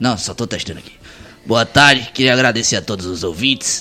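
A man's medium-pitched voice at a fairly quick pace, with lively intonation and music in the background. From Pernambuco sertão, Brazil. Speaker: radio host. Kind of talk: casual chat.

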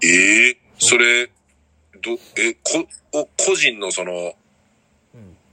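Speaking very slowly with long, frequent pauses, a man's voice shows big swings in loudness. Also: dry, close sound with no echo. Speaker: podcast host. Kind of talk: casual chat.

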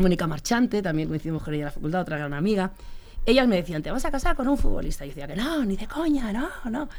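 A woman speaks at a very fast pace with medium pitch. Her speech has long, frequent pauses. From Spain, Leganés (Madrid). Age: 50s. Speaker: sports journalist. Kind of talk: interview.

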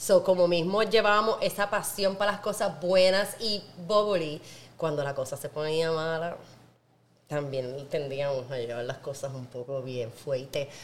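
Very deep and low in pitch, a woman speaks at a fairly slow pace in an animated tone with lively intonation. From Puerto Rico, Naranjito (rural interior). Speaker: podcast host, wine professional. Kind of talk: casual chat.

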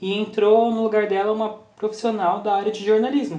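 Against noticeable background noise and audible room echo, a man talks at a moderate pace. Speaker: podcast co-host. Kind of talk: casual chat.

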